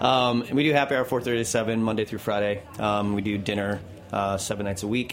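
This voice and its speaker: A man talks at a fairly quick pace with ordinary pitch variation, against noticeable background noise. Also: fairly low pitch for a man. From Caribbean. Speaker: restaurant co-owner. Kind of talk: casual interview. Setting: studio.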